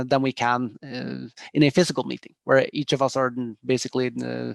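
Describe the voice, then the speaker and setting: In a Norwegian accent, a man of medium pitch talks at a fairly quick pace with a dry, close sound and no echo. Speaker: tech company executive. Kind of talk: interview. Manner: hesitant with many fillers.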